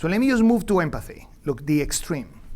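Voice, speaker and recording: A man speaks with a Venezuelan accent, and room echo is audible. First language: Spanish. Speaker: economics professor. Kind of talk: lecture. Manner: halting, many fillers and restarts; animated.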